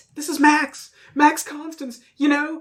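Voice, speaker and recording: In a put-on character voice, the speaker talks at a high pitch with monotone, flat intonation and a fairly slow pace. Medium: actual play. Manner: nervous.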